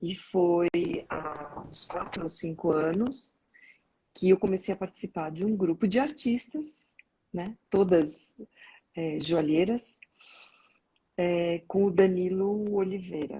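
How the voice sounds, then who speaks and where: Speaking at a fairly slow pace with long, frequent pauses, a woman uses a medium pitch with ordinary variation and a somewhat breathy, dark, mellow tone. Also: big swings in loudness. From São Paulo, Brazil. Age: 60s. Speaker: organizational development consultant. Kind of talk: casual interview.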